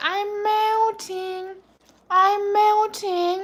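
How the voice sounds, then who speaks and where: In a put-on character voice, a woman sounds squeaky at an extremely high pitch with monotone, flat intonation. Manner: whiny, pleading.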